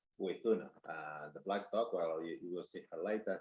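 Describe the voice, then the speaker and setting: At a moderate pace, a man with a Spanish accent speaks in a fairly low pitch. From Spain. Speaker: dog trainer. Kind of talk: webinar presentation. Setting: online conference. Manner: halting, many fillers.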